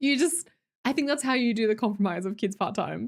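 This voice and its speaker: An animated woman with an Australian accent lets her pitch swing very widely. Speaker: live streamer. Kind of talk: casual chat.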